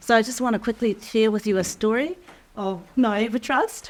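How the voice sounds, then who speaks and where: A woman with an unremarkable speaking voice talks at a fairly slow pace. Her pitch variation is ordinary. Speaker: life skills teacher. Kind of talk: workshop teaching talk.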